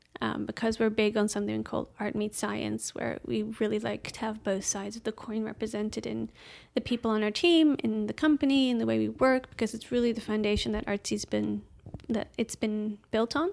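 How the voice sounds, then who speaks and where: A woman with a Dutch accent talks at a fairly quick pace on a very clean recording with a silent background. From Netherlands, Amsterdam. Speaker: software engineer. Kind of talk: casual interview chat. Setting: in person.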